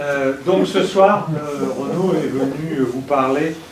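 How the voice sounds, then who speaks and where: A man with a fairly high voice speaks very slowly and with lively intonation, his words carrying some room echo over noticeable background noise. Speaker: professor and event host. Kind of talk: lecture introduction.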